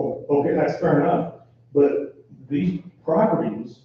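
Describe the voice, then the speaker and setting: In a room with audible echo, a man speaks fairly slowly and with lively intonation. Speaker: resident speaking at public hearing. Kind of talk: public comment. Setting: town council meeting. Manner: loud.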